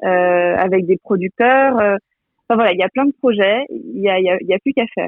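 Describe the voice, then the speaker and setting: A woman at medium pitch and a fairly slow pace. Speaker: entrepreneur, president of an online food shop. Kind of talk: radio interview. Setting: remote link from Quimper. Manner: energetic.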